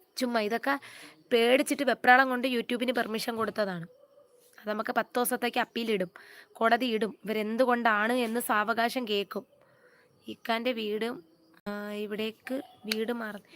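In an unremarkable speaking voice with fairly even intonation, the speech has a dry, close sound with no echo on a very clean recording with a silent background. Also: woman, fairly high pitch for a woman. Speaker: YouTuber. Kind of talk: live stream chat. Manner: casual, chatty.

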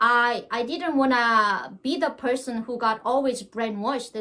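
Raising and projecting her voice, a woman with a Korean accent speaks at a high pitch in a bright, sharp tone. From North Korea. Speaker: North Korean defector; interview guest. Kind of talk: interview. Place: home room. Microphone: webcam.

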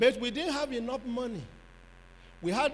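A man speaks at an extremely high pitch. His pitch variation is ordinary. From Nigeria. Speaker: pastor; preacher. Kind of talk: sermon. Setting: church conference with audience. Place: hall. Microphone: handheld.

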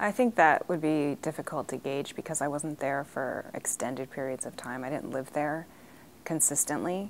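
A woman with an American accent speaks at a very deep, low pitch. Light background noise runs underneath. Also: ordinary pitch variation, moderate pace. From US, raised partly abroad (Ghana, Liberia). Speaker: diplomat's daughter recounting family history. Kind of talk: interview testimony. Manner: hesitant, frequent fillers. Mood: reflective, at times emotional. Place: meeting room. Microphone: lapel.

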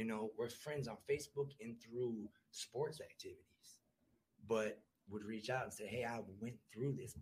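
Somewhat breathy, a man with an American accent speaks at a moderate pace with fairly even intonation and long, frequent pauses. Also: medium pitch for a man. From US Midwest, Milwaukee. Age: 30s. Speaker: recovering addict sharing his story. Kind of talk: podcast interview, personal testimony. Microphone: far from the mic at first.

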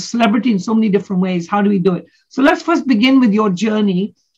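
Fairly high and somewhat breathy, a woman's voice moves at a fairly quick pace with ordinary pitch variation over a quiet background. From Kenya. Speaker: talk show host. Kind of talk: interview. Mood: warm, upbeat. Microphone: video call.

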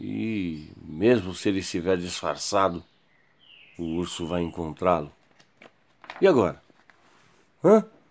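A very slow man's voice with a Brazilian accent, very deep and low in pitch, with ordinary pitch variation and long, frequent pauses. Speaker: YouTube storyteller. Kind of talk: children's story narration. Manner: animated, playful, voicing characters with sound effects. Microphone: phone near.

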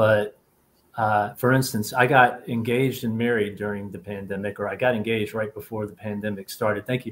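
Fairly quick, monotone, flat delivery over light background noise. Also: man, fairly low pitch for a man. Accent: American. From US South. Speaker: novelist; panelist. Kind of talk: panel conversation. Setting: video call. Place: home room.

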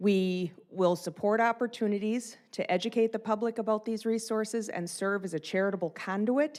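A woman's fairly high voice at a moderate pace, ordinary pitch variation, hardly any pauses, on a very clean recording with a silent background. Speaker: nonprofit board secretary. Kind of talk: public meeting presentation. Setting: city council meeting.

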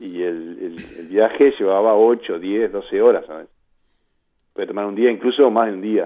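Over a quiet background, a man with an ordinary speaking voice talks at a fairly slow pace in a fairly low pitch, with ordinary pitch variation and big swings in loudness. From Uruguay (Carmelo); Uruguay. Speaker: poet. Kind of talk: radio interview. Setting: phone call. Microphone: phone line.

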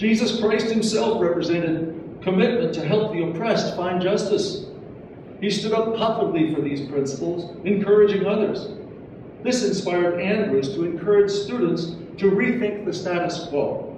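A man at a moderate pace and high pitch, with ordinary pitch variation, strong room echo and noticeable background noise. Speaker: memorial event organizer, community board member. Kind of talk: memorial speech. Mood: solemn, measured. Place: hall.

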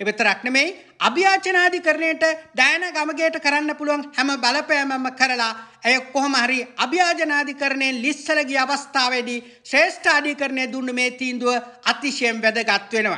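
A raised, projected voice at a very slow pace, with ordinary pitch variation. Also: man, extremely high pitch for a man. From Sri Lanka. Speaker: political commentator. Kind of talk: political commentary monologue. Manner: heated.

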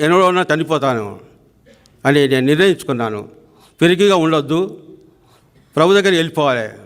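The man has a normal speaking voice. His pitch is fairly high, with ordinary pitch variation. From Telangana, near Siddipet. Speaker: church member giving testimony. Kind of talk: testimony.

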